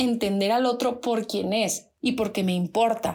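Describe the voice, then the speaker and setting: At a moderate pace, a woman speaks with a fairly high pitch in a very clean recording with a silent background. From northern Mexico. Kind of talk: devotional talk. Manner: loud.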